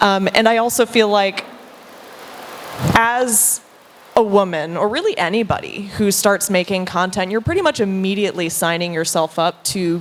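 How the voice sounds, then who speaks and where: A woman speaks at medium pitch with an American accent and ordinary pitch variation. Her pace is moderate, and background noise is noticeable. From US Deep South. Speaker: content creator, panelist. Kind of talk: panel discussion.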